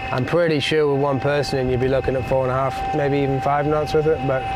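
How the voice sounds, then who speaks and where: A man talks very fast while music plays in the background. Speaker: sailing video host. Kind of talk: casual conversation. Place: boat. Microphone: lapel.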